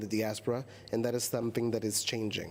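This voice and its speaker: A man's voice sits at a medium pitch while he moves along at a fairly quick pace. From United States (born in Angola). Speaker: film and television producer. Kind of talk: panel discussion.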